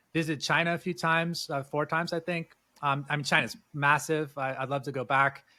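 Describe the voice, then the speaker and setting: Fairly quick and fairly high, a man speaks in a West Coast US accent with a bright, sharp tone. His intonation is fairly even, and the recording is very clean with a silent background. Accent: General American, West Coast. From US, Southern California. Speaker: entrepreneur and former tour guide. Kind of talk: casual interview chat. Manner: hesitant, many fillers.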